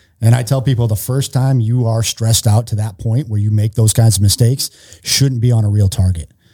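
A man with an American accent speaks at a fairly quick pace, somewhat breathy and dark and mellow in tone. His intonation stays fairly even. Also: medium pitch for a man. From Massachusetts (Worcester). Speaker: retired Navy SEAL, nonprofit founder training police. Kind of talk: podcast interview. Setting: studio.

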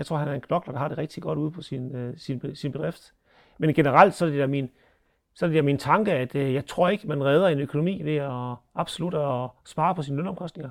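In a normal speaking voice, a man talks at a fairly high pitch with ordinary pitch variation on a very clean recording with a silent background. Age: 40s. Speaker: dairy farmer and agricultural board chair. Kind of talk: interview commentary.

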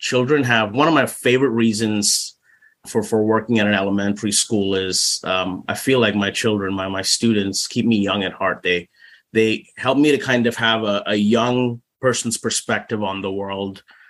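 A man's fairly low, unremarkable speaking voice at a moderate pace, with fairly even intonation against a quiet background. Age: 40s. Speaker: speech pathologist and children's author. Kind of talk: casual interview.

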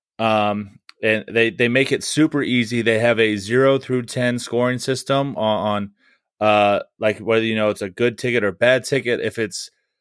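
A man with a plain, everyday voice speaks at a moderate pace and a medium pitch, his intonation fairly even, on a very clean recording with a silent background. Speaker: podcast host. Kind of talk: casual sports podcast chat. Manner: joking, crude humor, playful.

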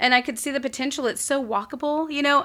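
A woman with an American accent talks at a very fast pace in a bright, sharp tone. The recording is very clean, with a silent background. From South Texas, Corpus Christi. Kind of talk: casual interview chat.

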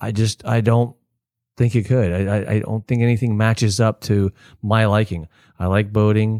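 In a very clean recording with a silent background, a man with a fairly low pitch and a dark, mellow tone speaks at a moderate pace in a monotone, flat intonation, the sound dry and close with no echo. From Florida (Palm Harbor, Tampa Bay area). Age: 50s. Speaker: local business owner. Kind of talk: casual interview.

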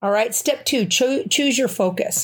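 A woman speaks in a normal speaking voice at a moderate pace with lively intonation. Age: 60s. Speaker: podcast host. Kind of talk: solo podcast monologue. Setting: home bedroom.

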